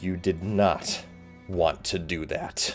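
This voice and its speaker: Over clear music in the background, a man puts on a booming character voice with a very deep, low pitch and monotone, flat intonation. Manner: menacing.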